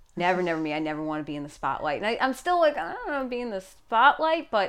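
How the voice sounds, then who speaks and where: A woman with a New York accent speaks with very wide pitch swings. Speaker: podcast guest.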